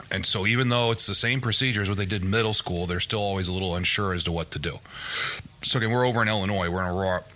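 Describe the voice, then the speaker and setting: A man's fairly low voice at a very fast pace, with fairly even intonation, over noticeable background noise. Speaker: horse racing podcast co-host and wrestling coach. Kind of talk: casual chat.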